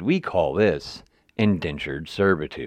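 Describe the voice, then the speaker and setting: Vocal fry colors a voice with an Appalachian accent, heard over a quiet background. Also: man. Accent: Appalachian American. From West Virginia. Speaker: podcast host. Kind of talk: editorial monologue. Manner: casual, profane.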